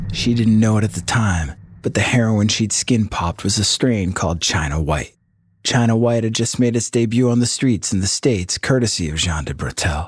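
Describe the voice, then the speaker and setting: In a dramatic, solemn tone, a man speaks at a fairly low pitch and a moderate pace. His somewhat breathy voice shows ordinary pitch variation. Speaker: podcast narrator. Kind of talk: true-crime narration, scripted storytelling. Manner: dramatic, suspenseful, measured pacing; solemn, ominous tone.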